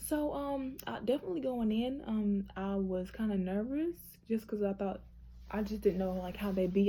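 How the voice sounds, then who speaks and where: A woman talks at a fairly quick pace, her pitch fairly high. Her tone is dark and mellow, and somewhat breathy. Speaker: nursing student vlogger. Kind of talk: casual vlog. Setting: hotel room. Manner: fast.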